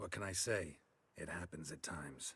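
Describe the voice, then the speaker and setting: A man's raspy put-on character voice with a deadpan tone at a moderate pace. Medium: video game. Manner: terse, deadpan.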